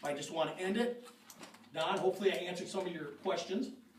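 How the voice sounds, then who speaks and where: Loud, very fast speech comes through with audible room echo and noticeable background noise. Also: man. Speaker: park board member. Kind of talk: public meeting speech. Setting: city board meeting with audience. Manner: animated.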